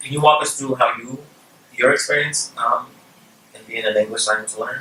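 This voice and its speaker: A man with a Spanish accent at a fairly quick pace, over noticeable background noise. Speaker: workshop presenter. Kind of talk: educational webinar interview.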